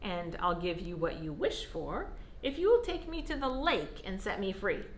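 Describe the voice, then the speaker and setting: A woman puts on a character voice with a high pitch. Clear background noise runs beneath it. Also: moderate pace. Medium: read story. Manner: polite, gentle.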